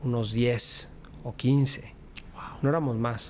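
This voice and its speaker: A man speaks with a Mexico City accent at a medium pitch. His intonation stays monotone and flat. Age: 40s. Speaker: politician. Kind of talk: interview.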